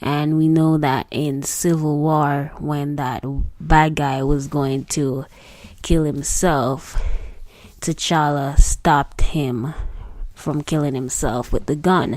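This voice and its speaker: A woman speaks with a Jamaican accent at a very slow pace. Her pitch is very deep and low. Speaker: singer. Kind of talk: read commentary / film critique.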